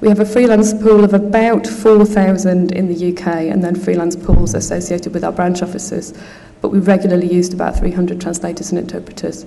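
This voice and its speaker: Noticeable background noise and audible room echo surround a woman talking at a very fast pace with a medium pitch and fairly even intonation. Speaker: conference speaker, translation company manager. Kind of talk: conference talk. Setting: conference hall with audience.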